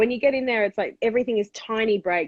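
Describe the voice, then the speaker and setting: The speaker has an Australian accent and talks at a very fast pace. The sound is dry and close, with no echo. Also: woman. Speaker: TV panelist and comedian. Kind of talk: casual interview. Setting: call-in to live stream.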